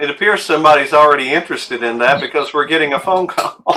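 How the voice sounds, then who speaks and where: Against noticeable background noise, a man speaks at a fairly quick pace in a fairly high voice with ordinary pitch variation. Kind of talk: live sales show. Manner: animated.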